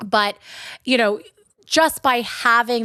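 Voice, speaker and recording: A woman's animated voice in a Long Island accent, bright and sharp in tone, at a moderate pace with ordinary pitch variation, on a very clean recording with a silent background. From Long Island, New York. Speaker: podcast co-host, shop co-owner. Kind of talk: casual chat.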